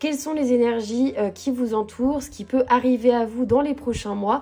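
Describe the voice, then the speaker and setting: This woman's voice is high-pitched, with a dark, mellow tone. She speaks at a fairly slow pace with fairly even intonation. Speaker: tarot card reader. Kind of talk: tarot reading guidance video.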